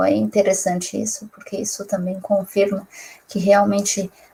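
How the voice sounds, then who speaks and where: A woman speaks in a somewhat breathy voice. Her intonation stays monotone and flat. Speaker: youtuber. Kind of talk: casual chat.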